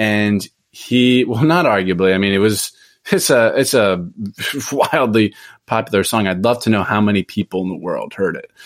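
Here is an unremarkable speaking voice with ordinary pitch variation. The pace is moderate. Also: man, fairly low pitch for a man. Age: 20s. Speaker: podcaster and author. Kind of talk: interview.

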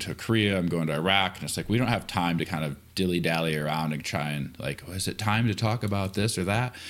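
This very clean recording with a silent background captures a man with an American accent, his very deep, low pitch showing ordinary variation. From Michigan. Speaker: army veteran, defense contractor. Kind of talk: casual interview chat.

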